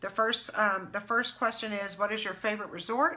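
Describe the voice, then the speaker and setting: The intonation stays fairly even, with noticeable background noise behind it. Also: woman. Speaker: travel agent. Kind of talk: casual live stream Q&A. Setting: live video stream. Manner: fast.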